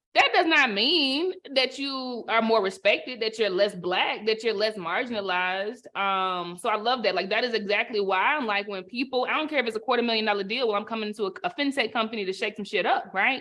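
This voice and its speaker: Speaking in a Southern US accent, a woman with a fairly high pitch and a bright, sharp tone talks at a fairly quick pace with lively intonation, an animated tone and hardly any pauses. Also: very clean recording, silent background. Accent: Southern twang. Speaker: panel moderator. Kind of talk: panel discussion. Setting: virtual summit.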